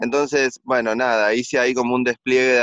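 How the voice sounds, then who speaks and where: Here a man speaks at a medium pitch. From Argentina. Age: 40s. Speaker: writer. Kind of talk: interview about his book. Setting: remote connection. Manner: hesitant, repeats words.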